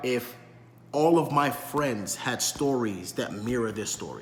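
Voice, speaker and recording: With a New York accent, a man speaks over noticeable background noise. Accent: New York City. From New York City, South Bronx. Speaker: vlogger. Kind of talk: monologue commentary. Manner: articulate; repetitive fillers.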